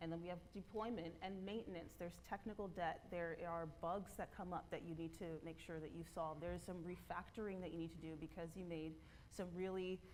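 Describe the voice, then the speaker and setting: Vocal fry and fairly even intonation carry through audible room echo. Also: woman. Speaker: conference speaker, developer relations lead. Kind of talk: conference talk. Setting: stage with audience. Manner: fast.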